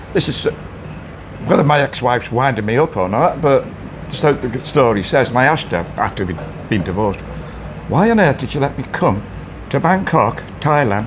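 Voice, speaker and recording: Very wide pitch swings, long and frequent pauses, and noticeable background noise. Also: man, medium pitch for a man, fairly quick pace. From northern England, Wallasey near Liverpool. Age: 60s. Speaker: bar owner. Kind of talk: casual chat. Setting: bar.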